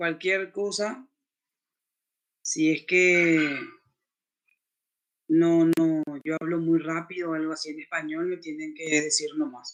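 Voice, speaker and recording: A man's high voice at a very slow pace, broken by long, frequent pauses. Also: fairly even intonation. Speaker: lecturer. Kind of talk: lecture.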